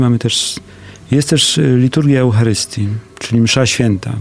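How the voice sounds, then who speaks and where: A man talks at a moderate pace. Background noise is noticeable throughout. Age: 40s. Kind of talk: radio interview. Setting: studio.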